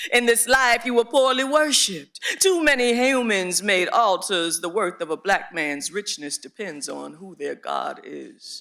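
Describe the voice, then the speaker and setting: The voice is raised and projected, with a bright, sharp tone. Intonation is lively and the pace moderate. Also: man. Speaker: slam poet performing. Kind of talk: spoken word poetry performance.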